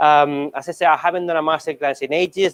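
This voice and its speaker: This man's voice sits fairly high. The sound is dry and close, with no echo. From Spain, Barcelona (Catalonia). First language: Spanish. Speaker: chef. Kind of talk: cooking demonstration. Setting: stage with audience. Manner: hesitant, many fillers.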